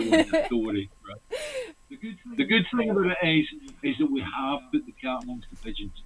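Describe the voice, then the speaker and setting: Speaking with a Scottish accent, a man takes long, frequent pauses over noticeable background noise. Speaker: livestream host. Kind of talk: casual chat. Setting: livestream.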